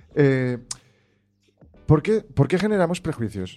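Music plays behind a man whose fairly high pitch swings very widely as he speaks at a moderate pace. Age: young. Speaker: guest discussing emotional intelligence. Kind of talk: casual chat.

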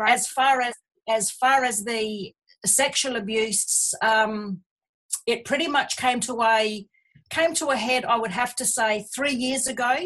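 Her pitch fairly high and varying an ordinary amount, a woman talks in an Australian accent. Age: 50s. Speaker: abuse survivor. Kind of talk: testimony. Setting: remote call.

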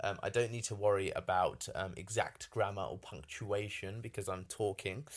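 Speaking at a moderate pace with a British accent, a man uses a fairly low pitch and ordinary pitch variation. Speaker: podcast host and entrepreneur. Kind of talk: solo podcast monologue. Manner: halting with many fillers.

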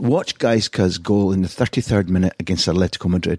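The recording is very clean, with a silent background and a dry, close sound with no echo. A man with a Scottish accent talks very fast in a fairly low voice. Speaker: football journalist and podcast host. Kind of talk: scripted narration; interview.

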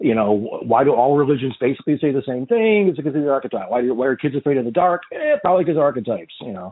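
With an animated tone and lively intonation, a man with a fairly high pitch talks at a very fast pace with hardly any pauses. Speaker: podcast host and therapist. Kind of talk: casual interview chat. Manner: animated, jokey.

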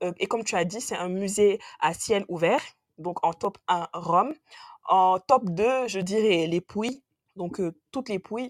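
Very slowly, a woman speaks at a medium pitch. The sound is dry and close with no echo. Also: ordinary pitch variation. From Senegal. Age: 20s. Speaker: engineer, travel guest. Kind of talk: casual chat.

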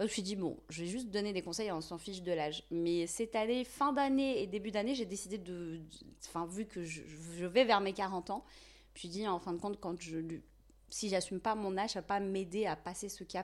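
A woman with an unremarkable speaking voice, medium pitch, ordinary pitch variation, and a moderate pace, in a very clean recording with a silent background. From Algeria, Tizi Ouzou, Kabylie. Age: 30s. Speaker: content creator. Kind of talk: casual interview.

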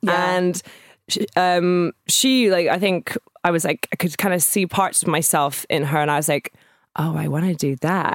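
In a Scottish accent, a woman speaks at a medium pitch and moderate pace with ordinary pitch variation, in a very clean, dry, close recording with no echo and a silent background. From Scotland, Edinburgh. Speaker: DJ and producer. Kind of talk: casual interview chat. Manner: hesitant, many fillers.

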